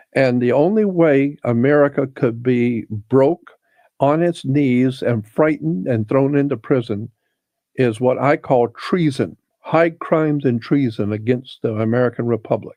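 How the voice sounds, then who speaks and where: Speaking at a fairly slow pace, the man has a medium pitch, a dark, mellow tone and very even loudness. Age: 70s. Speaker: conspiracy researcher. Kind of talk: interview conversation. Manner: hesitant, many fillers.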